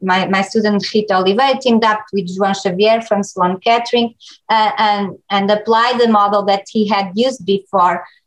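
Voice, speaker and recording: At a moderate pace, a woman of medium pitch speaks with fairly even intonation. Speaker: research scientist. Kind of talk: lecture. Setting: online seminar. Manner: halting.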